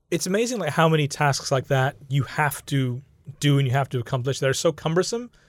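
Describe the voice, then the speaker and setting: In a very clean recording with a silent background, a man speaks at a fairly high pitch, with very even loudness and ordinary pitch variation. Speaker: podcast host. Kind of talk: casual chat. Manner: animated.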